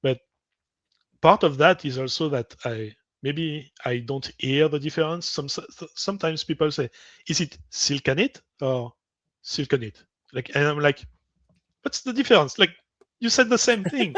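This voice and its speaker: A man's fairly high pitch and lively intonation with long, frequent pauses, a dry, close sound with no echo and a quiet background. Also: moderate pace. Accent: French. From French-speaking. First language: French. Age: 40s. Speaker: podcast guest. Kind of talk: casual chat.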